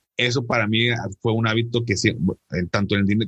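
In a dry, close sound with no echo, a man with a fairly low pitch speaks at a fairly quick pace and with fairly even intonation. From Monterrey, northern Mexico. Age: 30s. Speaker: financial advisor and podcaster. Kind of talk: interview conversation. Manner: halting, many repetitions and fillers.

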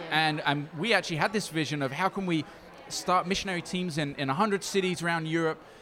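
Fairly quick, fairly even speech against noticeable background noise. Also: man, high pitch for a man. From Brazil. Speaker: missionary organization leader. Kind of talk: interview. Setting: recorded at a conference in Dubai.

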